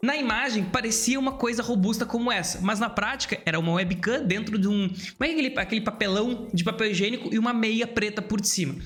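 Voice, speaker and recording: Over noticeable background noise, a man speaks at a high pitch and a very fast pace, with hardly any pauses and very even loudness. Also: ordinary pitch variation. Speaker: YouTube creator coach. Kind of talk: commentary reacting to video clips. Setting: home studio with camera setup. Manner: fast, occasionally stumbling speech.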